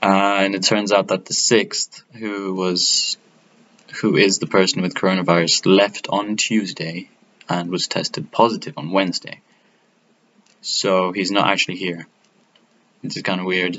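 In a fairly low voice, a man speaks at a fairly slow pace with monotone, flat intonation and long, frequent pauses. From Italy. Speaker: student vlogger. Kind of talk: casual vlog monologue. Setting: bedroom in student accommodation. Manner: halting, many fillers. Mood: relaxed, joking. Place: home room. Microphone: webcam.

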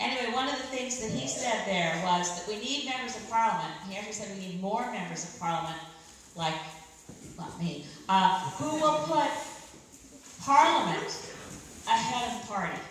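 A woman talks at a moderate pace with long, frequent pauses and big swings in loudness, amid light background noise and strong room echo. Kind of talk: political speech. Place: hall.

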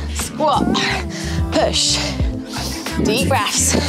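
Clear music plays in the background. Over it, a woman talks at a very slow pace. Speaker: fitness instructor. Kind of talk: workout coaching instructions. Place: studio.

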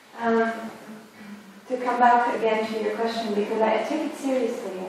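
A woman talks at a moderate pace with a fairly high pitch. There is strong room echo and light background noise. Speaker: academic philosopher or artist on panel. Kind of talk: academic round-table discussion. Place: hall.

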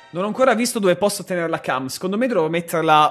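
A man's high-pitched, animated voice with lively intonation, faint music playing in the background. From Bologna, Emilia-Romagna, Italy. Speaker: gaming streamer. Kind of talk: live game streaming commentary. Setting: home streaming setup. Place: home room. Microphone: studio mic.

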